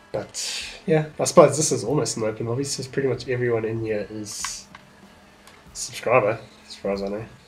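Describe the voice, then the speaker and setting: A man at a medium pitch with ordinary pitch variation, fairly quick pace and long, frequent pauses, music playing in the background. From South Africa. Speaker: gaming streamer. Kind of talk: casual livestream gameplay commentary. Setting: livestream.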